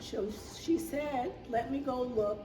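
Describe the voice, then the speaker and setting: A woman talks at a very slow pace with a fairly high pitch and very wide pitch swings. Noticeable background noise and audible room echo fill the recording. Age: 80s+. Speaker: aid recipient. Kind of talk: testimony.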